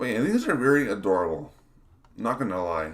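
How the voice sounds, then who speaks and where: A mumbling man with very wide pitch swings. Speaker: game design streamer. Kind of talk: live stream talk. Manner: halting, many fillers.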